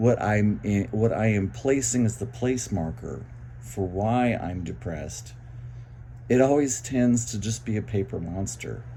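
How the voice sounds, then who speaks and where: A somewhat breathy man's voice, dark and mellow in tone, with very wide pitch swings, a fairly slow pace, and audible room echo. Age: 60s. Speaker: vlogger sharing mental health experience. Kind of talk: personal monologue. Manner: halting.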